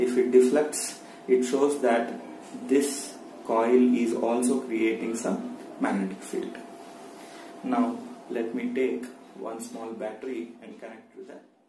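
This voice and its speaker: A man speaks at a very slow pace with long, frequent pauses and fairly even intonation. Noticeable background noise is present. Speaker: science teacher. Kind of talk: tutorial. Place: home room. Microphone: phone near.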